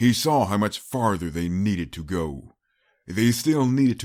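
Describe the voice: The intonation is lively in this plain reading aloud. Nothing intrudes on the quiet background.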